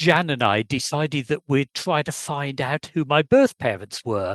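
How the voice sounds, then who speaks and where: A man with an English accent at a fairly slow pace, dry and close with no echo, over a quiet background. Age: 70s. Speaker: adoptee searching for birth family. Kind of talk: casual interview chat.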